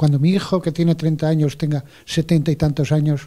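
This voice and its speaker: A man's somewhat breathy voice, fairly high-pitched, at a fairly quick pace with fairly even intonation. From Spain. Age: 70s. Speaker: audience member asking a question. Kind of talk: audience question at forum. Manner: halting.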